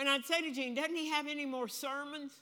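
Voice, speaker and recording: A woman speaks in a raised, projected voice at a high pitch. Her pace is moderate. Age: 80s+. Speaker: preacher. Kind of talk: sermon. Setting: church. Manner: loud.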